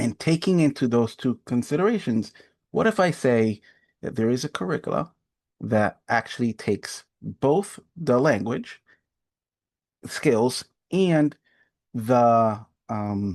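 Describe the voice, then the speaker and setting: Over a quiet background, someone with a Spanish accent speaks at a very slow pace with long, frequent pauses and lively intonation. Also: man, medium pitch for a man, dry, close sound with no echo. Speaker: adult education coordinator. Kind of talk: webinar presentation. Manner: halting, with pauses and fillers.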